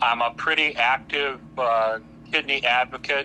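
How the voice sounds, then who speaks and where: Monotone and flat in intonation, a man speaks at a medium pitch and a fairly slow pace. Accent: Midwestern American. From US Midwest, Hammond, Indiana. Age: 60s. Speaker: kidney patient advocate. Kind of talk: podcast interview. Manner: halting, with repetitions.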